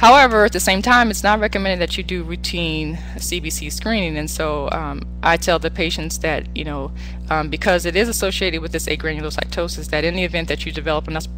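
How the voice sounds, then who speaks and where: Over music in the background, a woman speaks very fast with hardly any pauses, and room echo is audible. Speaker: physician. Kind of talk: lecture. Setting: webinar.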